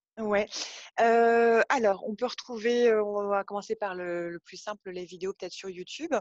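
A woman with a plain, everyday voice speaks at a fairly slow pace and medium pitch, with ordinary pitch variation and big swings in loudness. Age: 30s. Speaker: yoga teacher and studio owner. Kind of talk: casual interview chat. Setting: phone call.

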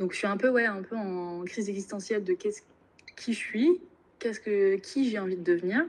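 Here is a woman with an unremarkable speaking voice at a medium pitch. She speaks at a fairly quick pace with ordinary pitch variation. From Normandy, France. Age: 20s. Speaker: business school student. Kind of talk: casual interview.

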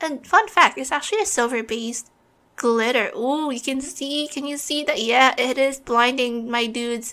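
A woman with a high pitch and a bright, sharp tone uses a raised, projected voice at a moderate pace with ordinary pitch variation. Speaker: podcast co-host. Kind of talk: casual chat with makeup review.

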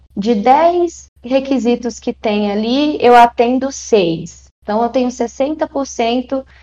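A woman uses a high pitch and lively intonation with a dark, mellow tone. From Brazil, Maranhão. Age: 20s. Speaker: tech recruiter, psychologist. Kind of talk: interview.

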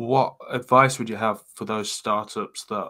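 This man speaks with an English Midlands accent. His pace is fairly slow. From England, Coventry area. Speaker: podcast host. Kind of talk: interview podcast hosting.

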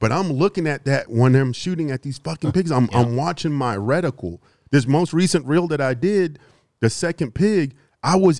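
A man's fairly high, dark, mellow voice with an American accent, lively intonation and a moderate pace, in a very clean, dry, close recording with a silent background and no echo. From US South, Houston, Texas. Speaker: predator and hog hunter. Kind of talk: casual chat.

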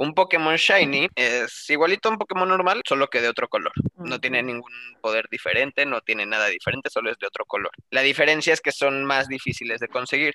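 Speaking at a very fast pace, a man with a fairly high pitch and lively intonation is heard in a dry, close sound with no echo. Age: 20s. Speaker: podcast guest, gaming enthusiast. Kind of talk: casual chat. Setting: video call.

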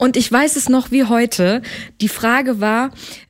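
Ordinary pitch variation and a fairly slow pace in an ordinary speaking voice. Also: woman. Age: 30s. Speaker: wedding singer. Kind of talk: casual chat.

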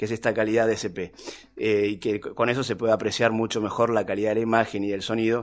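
A man rattles along at a very fast pace in a medium pitch, his intonation monotone and flat. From Argentina, Tierra del Fuego (Río Grande). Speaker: documentary filmmaker. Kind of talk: interview conversation. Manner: hesitant, many fillers.

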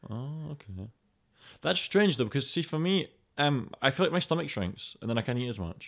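Scottish accent with very wide pitch swings at a moderate pace, on a very clean recording with a silent background. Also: man, medium pitch for a man. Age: 20s. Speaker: podcast host. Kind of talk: casual chat.

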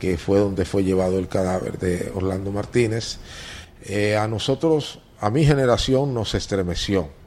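A man with an eastern Dominican accent, fairly low in pitch, at a fairly slow pace. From eastern Dominican Republic (Higüey, La Romana). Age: 60s. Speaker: veteran journalist and newspaper editor. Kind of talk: interview.

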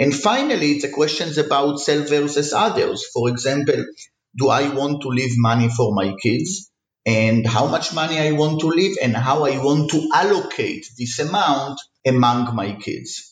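A man with a fairly high pitch and a somewhat breathy voice talks at a moderate pace amid audible room echo. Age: 40s. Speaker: economics professor. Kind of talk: interview.

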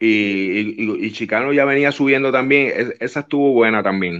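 A man at medium pitch and moderate pace, an ordinary speaking voice with ordinary pitch variation over a quiet background. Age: 50s. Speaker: wrestling TV personality. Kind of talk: casual interview.

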